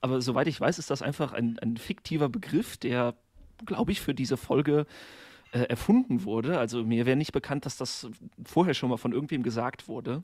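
On a very clean recording with a silent background, a man with a plain, everyday voice speaks at a fairly quick pace in a medium pitch with ordinary pitch variation. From western Germany, near Koblenz. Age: 30s. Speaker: primary school teacher, podcaster. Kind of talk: casual chat.

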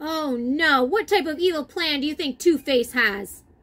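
A woman's high voice with a fairly bright tone, ordinary pitch variation and a fairly slow pace

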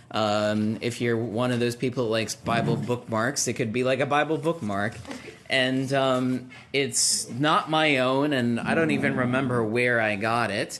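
A man at a fairly slow pace, with ordinary pitch variation and very even loudness, over noticeable background noise. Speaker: pastor leading Bible class. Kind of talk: prayer then class talk. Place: classroom.

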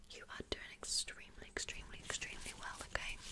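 A woman whispering at a fairly quick pace. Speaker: ASMR creator. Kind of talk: soft ASMR instructions to viewer. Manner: soft-spoken, hushed and close. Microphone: studio mic.

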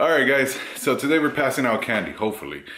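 Audible room echo surrounds the voice. It's a man talking. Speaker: vlogger. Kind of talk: casual vlog chat. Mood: playful, laughing. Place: home room. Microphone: phone near.

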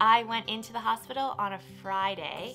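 Clear background music accompanies a woman as she talks. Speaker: first-time mom vlogger. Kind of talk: casual vlog chat. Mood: warm, cheerful, laughing. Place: home room. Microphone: camera far.

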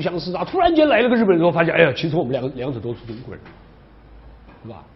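A man with a high-pitched voice talks at a very fast pace. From China. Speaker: university history professor. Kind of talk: lecture. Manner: frequent filler particles. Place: classroom. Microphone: lapel.

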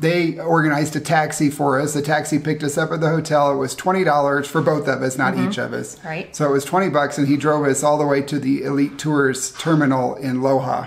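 A man talks at a very fast pace with hardly any pauses. His intonation stays fairly even. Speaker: travel vlogger. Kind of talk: casual vlog chat. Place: home room.

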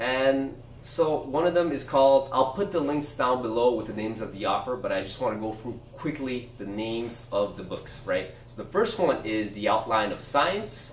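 A man talks with lively intonation and hardly any pauses. Audible room echo and light background noise come through. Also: moderate pace. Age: 30s. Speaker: book review youtuber; book reviewer. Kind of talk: casual video monologue. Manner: halting, many fillers. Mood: relaxed, a bit self-deprecating. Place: home room. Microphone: camera far.

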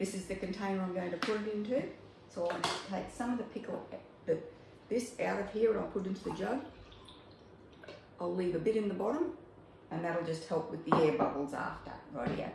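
Over noticeable background noise and audible room echo, a woman talks at a very fast pace with ordinary pitch variation. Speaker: home cooking demonstrator. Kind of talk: tutorial. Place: kitchen. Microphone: phone near.

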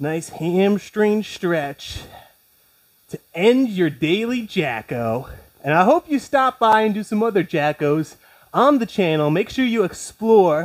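Over a quiet background, a man talks at a very slow pace with very wide pitch swings. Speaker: fitness instructor. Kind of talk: workout instruction. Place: home room.

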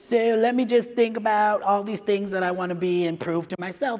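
A man with an American accent talks with ordinary pitch variation. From California. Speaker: HR director and diversity lead; conference speaker. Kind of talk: conference talk. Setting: stage with audience. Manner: animated. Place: hall.

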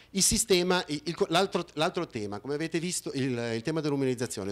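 Here a man talks at a very fast pace. His pitch swings very widely. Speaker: conference speaker. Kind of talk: conference talk with slides. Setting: conference hall with audience. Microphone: handheld.

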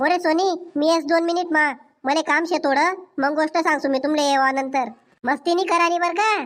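A woman's cartoonish character voice, extremely high-pitched, at a moderate pace with fairly even intonation and very even loudness. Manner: bossy.

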